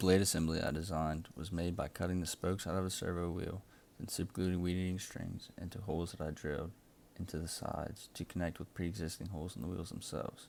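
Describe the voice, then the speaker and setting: Pitched very deep and low, a man speaks at a very fast pace. His intonation stays fairly even. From South Louisiana marshes. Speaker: engineering student. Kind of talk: class project presentation. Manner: scripted.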